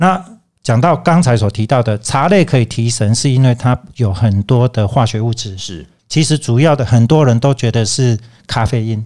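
A man's unremarkable speaking voice at medium pitch, with ordinary pitch variation, a moderate pace, and a very clean recording over a silent background. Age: 60s. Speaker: teacher and tea merchant. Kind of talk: interview.

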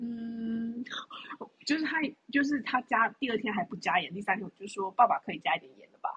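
In a normal speaking voice, a woman talks fairly quickly at a fairly high pitch with lively intonation and big swings in loudness, the sound dry and close with no echo. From Taiwan. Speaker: podcast co-host, expectant mother. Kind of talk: casual chat.

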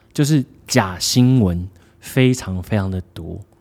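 A man speaks at a medium pitch with lively intonation and a dark, mellow tone. His pace is very slow, and the recording is very clean with a silent background. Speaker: podcast co-host. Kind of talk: casual chat.

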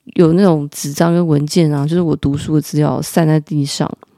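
In a Taiwanese accent, a woman speaks at a fairly slow pace with fairly even intonation and a dark, mellow tone, the sound dry and close with no echo. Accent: Taiwanese Mandarin. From Taiwan, Taipei. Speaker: podcast host. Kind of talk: casual storytelling monologue.

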